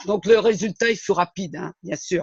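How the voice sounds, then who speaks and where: A man speaks at a fairly slow pace, keeping his intonation fairly even. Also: dry, close sound with no echo. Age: 70s. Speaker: retired civil servant, network marketing distributor. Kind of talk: testimony.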